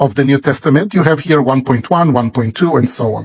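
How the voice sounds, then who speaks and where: With an Israeli accent, a man speaks at a fairly high pitch with ordinary pitch variation, somewhat breathy, in a dry, close sound with no echo. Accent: Israeli Hebrew. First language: Hebrew. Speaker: Bible publisher. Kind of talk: sales pitch. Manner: slow.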